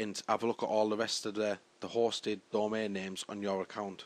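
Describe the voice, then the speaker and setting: This man speaks at a moderate pace with a British accent. His pitch sits fairly low. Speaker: tutorial maker. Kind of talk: tutorial. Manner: halting.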